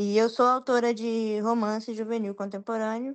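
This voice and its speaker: A woman talks at a fairly high pitch in a monotone, flat intonation. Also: quiet background. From Brazil. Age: 30s. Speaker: novelist, guest. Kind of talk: podcast interview.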